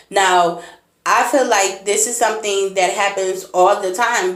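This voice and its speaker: In a room with audible echo, a woman talks at a medium pitch with ordinary pitch variation. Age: 30s. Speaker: blind motivational speaker, vlogger. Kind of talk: personal vlog monologue.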